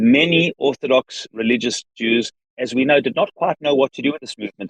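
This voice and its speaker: A man with a South African accent talks at a fairly quick pace, medium pitch and ordinary pitch variation. The sound is dry and close with no echo, and his loudness swings widely. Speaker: rabbi and organization leader. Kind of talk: interview. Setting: in a car.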